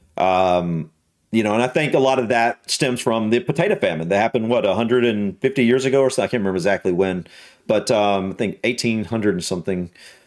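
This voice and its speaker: A man with a Southern US accent speaks at a medium pitch and a very fast pace. His intonation is lively while his loudness stays very even. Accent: Southern American. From US South. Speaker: YouTube reactor. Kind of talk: reaction video commentary. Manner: hesitant, many fillers and repetitions.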